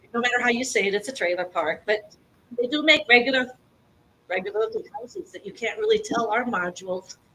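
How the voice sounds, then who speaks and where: A loud, very fast woman's voice, high-pitched with lively intonation. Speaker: public commenter at city meeting. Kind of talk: public comment. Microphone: speaking without microphone.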